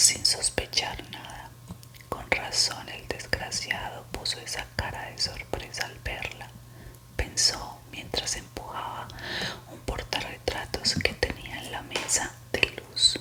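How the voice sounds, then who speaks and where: Someone whispers at a very slow pace, with big swings in loudness and noticeable background noise behind. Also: woman. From Colombia. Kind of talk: whispered suspense story reading, ASMR. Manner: whispered, soft, slow.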